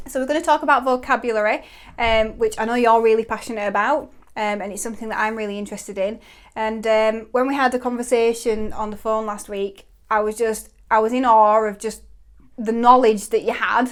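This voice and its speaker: Fairly quick and fairly even in intonation, a woman with a plain, everyday voice speaks on a very clean recording with a silent background. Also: fairly high pitch for a woman. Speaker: podcast host. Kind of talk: podcast interview questions.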